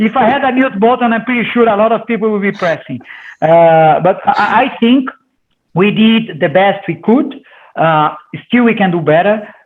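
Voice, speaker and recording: Lively in intonation, a man with a Portuguese accent talks at a moderate pace. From Brazil. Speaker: company CEO. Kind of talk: interview. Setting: video call. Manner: loud.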